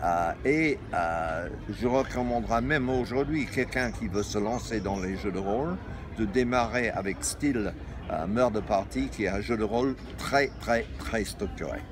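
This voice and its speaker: Lively intonation marks this man's fairly low-pitched voice. He speaks at a fairly slow pace over noticeable background noise. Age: 70s. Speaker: games publisher and shop founder. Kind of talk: interview. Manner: halting, many hesitations.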